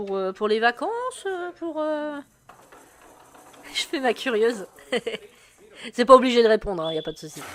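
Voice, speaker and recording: This woman talks at a fairly high pitch that rises and falls across a very wide range. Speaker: sports streamer commentator. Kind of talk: live commentary. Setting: live stream. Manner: casual, hesitant with many fillers.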